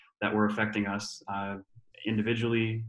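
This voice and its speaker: A man talks at a fairly quick pace in a fairly low, monotone, flat voice, with audible room echo over a quiet background. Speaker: webinar host. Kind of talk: introduction of guests. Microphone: webcam.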